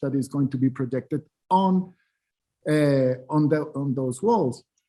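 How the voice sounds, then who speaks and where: With a Spanish accent, the man has a dark, mellow tone at a fairly high pitch. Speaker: artist and curator. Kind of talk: panel discussion. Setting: online symposium, video call. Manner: halting, many repetitions.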